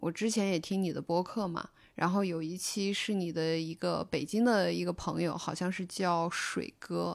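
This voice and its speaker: A woman's plain, everyday voice, fairly low in pitch with ordinary pitch variation, at a fairly slow pace on a very clean recording with a silent background. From Northwest China. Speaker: podcast host. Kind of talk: interview.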